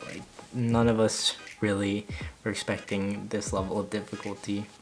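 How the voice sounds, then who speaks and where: Music plays behind a man with a fairly low pitch. He speaks at a moderate pace with fairly even intonation. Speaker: college freshman. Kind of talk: casual talk to camera. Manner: monotone.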